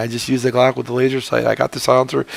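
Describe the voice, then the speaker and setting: A man talks in a mid-range pitch while background noise can be clearly heard. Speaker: gaming commentator. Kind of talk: game commentary. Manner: casual, hesitant.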